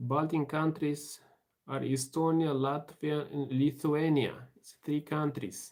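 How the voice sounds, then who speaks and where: In a Romanian accent, a man speaks very slowly in a fairly high, monotone voice with flat intonation and big swings in loudness. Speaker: livestream host. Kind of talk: casual livestream chat reading comments. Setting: live stream.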